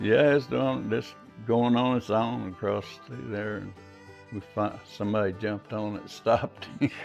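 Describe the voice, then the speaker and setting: Music plays behind a man with an American accent whose fairly low voice has lively intonation and big swings in loudness. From Arkansas, southern US. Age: old. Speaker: carpenter. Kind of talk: interview answer.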